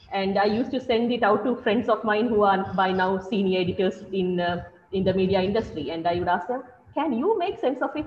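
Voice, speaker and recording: Noticeable background noise runs under a woman speaking at a moderate pace with lively intonation. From Sri Lanka. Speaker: journalist and activist. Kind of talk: panel webinar talk. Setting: online webinar. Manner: hesitant, many fillers.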